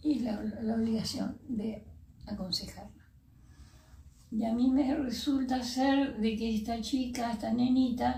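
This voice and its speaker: Speaking at a very slow pace, a woman uses a fairly high pitch and fairly even intonation. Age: 70s. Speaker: retired primary school teacher. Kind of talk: interview answer.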